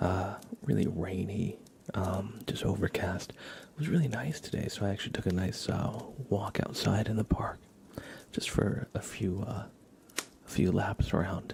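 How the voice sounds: Whispering at a fairly slow pace, a man speaks with vocal fry.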